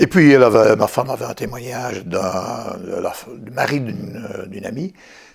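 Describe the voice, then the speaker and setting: A man is speaking. He keeps a moderate pace. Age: 60s. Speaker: patient, retired French teacher. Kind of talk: testimony. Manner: hesitant, many fillers and repetitions.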